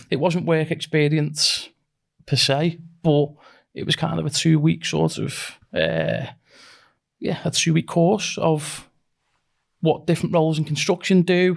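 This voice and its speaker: Long, frequent pauses break up a man's fairly slow speech. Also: very clean recording, silent background. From northern England, near Liverpool. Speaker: construction company managing director. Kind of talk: casual interview. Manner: halting, repeats words.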